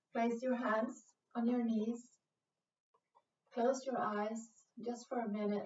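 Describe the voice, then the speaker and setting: Very slowly and with long, frequent pauses, a woman speaks at a fairly high pitch in a calm tone with monotone, flat intonation. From Sweden. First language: Swedish. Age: 40s. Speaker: yoga instructor. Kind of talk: guided yoga class. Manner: slow, calm; hesitant, many fillers.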